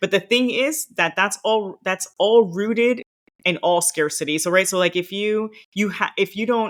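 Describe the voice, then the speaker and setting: In a very clean recording with a silent background, a woman with a Miami accent speaks with lively intonation. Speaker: former diplomat, career coach. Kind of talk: podcast interview.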